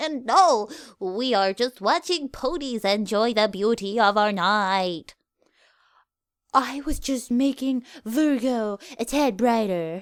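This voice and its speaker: A put-on character voice at a fairly slow pace, in a very clean recording with a silent background. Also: woman, fairly high pitch for a woman. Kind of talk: archaic royal speech. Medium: read story. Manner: formal, uses royal we.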